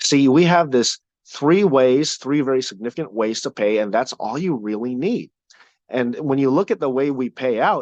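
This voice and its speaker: A man at medium pitch and moderate pace, lively in intonation, with a dry, close sound with no echo against a quiet background. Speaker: company trainer presenting compensation plan. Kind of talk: training talk. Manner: animated.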